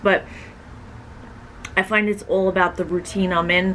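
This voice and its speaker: There is light background noise as a woman speaks at a moderate pace. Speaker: vlogger. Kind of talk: casual vlog chat, Q&A answer. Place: home room. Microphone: camera far.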